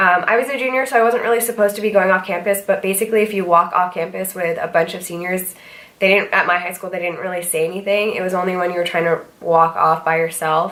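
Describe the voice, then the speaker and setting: Against noticeable background noise, a woman at medium pitch rushes along at a very fast pace with hardly any pauses and fairly even intonation. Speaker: vlogger. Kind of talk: casual chat. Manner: hesitant, many fillers.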